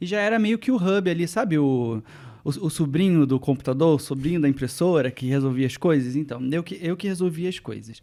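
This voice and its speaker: A man speaks at a moderate pace with a fairly high pitch and lively intonation, in a Rio de Janeiro accent, on a very clean recording with a silent background. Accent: carioca. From Brazil, Rio de Janeiro suburbs. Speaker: tech journalist. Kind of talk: casual interview chat.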